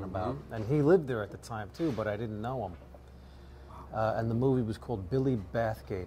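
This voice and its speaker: Over light background noise, a man with a Bronx accent talks at a fairly quick pace in a fairly low, dark, mellow voice with vocal fry and lively intonation. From New York. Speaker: actor. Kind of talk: interview answer. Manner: hesitant, halting. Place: bar. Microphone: lapel.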